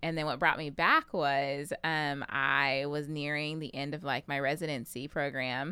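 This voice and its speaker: In a very clean recording with a silent background, a woman with an American accent speaks at a very deep, low pitch in a bright, sharp tone. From Texas, Pflugerville (north Austin). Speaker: podcast guest. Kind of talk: casual chat.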